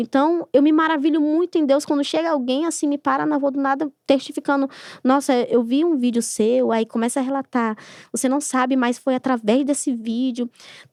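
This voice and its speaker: Her voice is high, with ordinary pitch variation at a moderate pace. The sound is dry and close, with no echo. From Brazil, Amazonas (Lábrea). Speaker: gospel singer. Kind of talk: podcast interview testimony.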